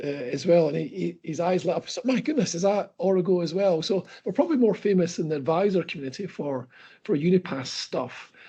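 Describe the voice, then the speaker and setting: A man's high voice in a Scottish accent at a fairly quick pace, with hardly any pauses. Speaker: company chief executive. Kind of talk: interview. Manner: halting, many fillers and repeats.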